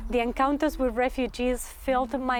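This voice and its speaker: With a Spanish accent, a woman speaks in fairly even intonation. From Argentina. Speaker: graduate student performance artist. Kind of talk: thesis presentation reading. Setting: graduate talk to audience. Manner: formal.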